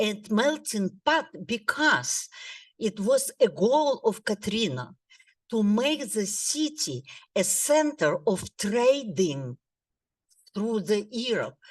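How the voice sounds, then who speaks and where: A woman speaks at a very slow pace with vocal fry. Her fairly high pitch swings very widely. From Odessa, Ukraine (former USSR). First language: Russian. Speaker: lifelong learning student. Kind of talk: class presentation. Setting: classroom with audience, microphone, recorded.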